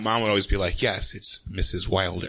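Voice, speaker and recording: This man speaks with an American accent. His bright, sharp tone moves through very wide pitch swings. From New York, Manhattan. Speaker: comedian guest. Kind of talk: live comedy talk show interview. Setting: stage with audience.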